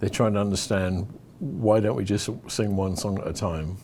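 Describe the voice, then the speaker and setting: This man's pitch is very deep and low, with a dark, mellow tone. He moves at a moderate pace with ordinary pitch variation. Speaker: worship leader and trainer. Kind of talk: interview answers. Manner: hesitant, many fillers.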